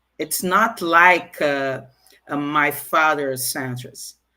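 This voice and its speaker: A woman's very deep, low, bright and sharp voice with a Portuguese accent, very slow pace, ordinary pitch variation, and a very clean recording with a silent background. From Brazil. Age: 50s. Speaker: guest speaker. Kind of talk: interview. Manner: halting.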